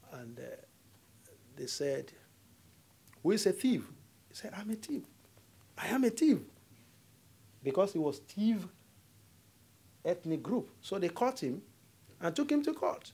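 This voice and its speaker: With a Nigerian accent and a dark, mellow tone, the speaker moves at a fairly slow pace through very wide pitch swings and long, frequent pauses. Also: man, high pitch for a man. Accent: Nigerian (Yoruba) English. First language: Yoruba. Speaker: diplomat. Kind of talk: lecture.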